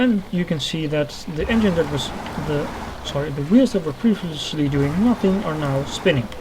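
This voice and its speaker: Spoken at a moderate pace with a non-native accent, the voice comes through over noticeable background noise. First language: not English. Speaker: gaming video creator. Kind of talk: let's play tutorial commentary. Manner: halting, with fillers and self-corrections.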